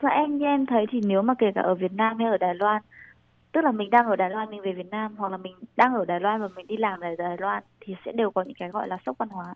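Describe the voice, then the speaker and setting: Someone talks at a very fast pace with ordinary pitch variation and big swings in loudness. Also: woman, medium pitch for a woman. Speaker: master's student in Taiwan. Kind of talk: interview.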